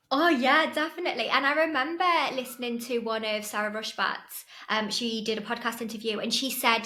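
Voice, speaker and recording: A woman with an English accent speaks at a fairly quick pace in a high voice with ordinary pitch variation. Noticeable background noise runs underneath. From northern England, Chester. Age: 30s. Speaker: podcast guest in recovery. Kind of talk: casual interview chat.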